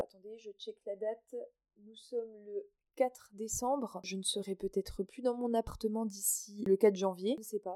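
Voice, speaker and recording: In a dry, close sound with no echo, a woman speaks at a fairly slow pace with a dark, mellow tone and fairly even intonation. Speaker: podcaster. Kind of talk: casual monologue. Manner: cheerful.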